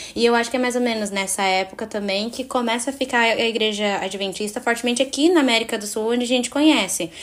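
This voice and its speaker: A woman talking very fast, with ordinary pitch variation. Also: fairly high pitch for a woman, hardly any pauses. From Cape Verde, Fogo island. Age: 20s. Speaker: university student, podcast guest. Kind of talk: casual Bible study discussion.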